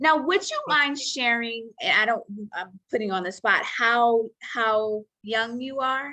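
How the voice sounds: With a bright, sharp tone, a woman speaks at a fairly high pitch and a fairly slow pace. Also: ordinary pitch variation.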